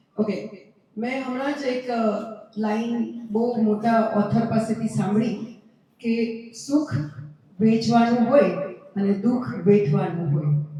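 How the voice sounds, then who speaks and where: A woman's fairly high-pitched voice with ordinary pitch variation and audible room echo. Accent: Gujarati. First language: Gujarati (speaking Hindi). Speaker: event organizer. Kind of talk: public appeal.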